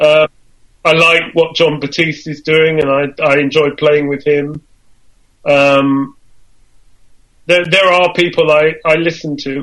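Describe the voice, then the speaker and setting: A man at a very slow pace, fairly high in pitch, monotone and flat, with long, frequent pauses. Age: 70s. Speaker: musician and composer. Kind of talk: casual chat.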